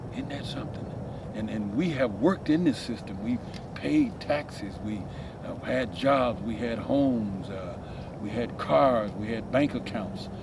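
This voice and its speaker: Speech comes at a moderate pace with ordinary pitch variation. Audible room echo and noticeable background noise are present. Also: man. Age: 60s. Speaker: homeless former carpenter. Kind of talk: interview.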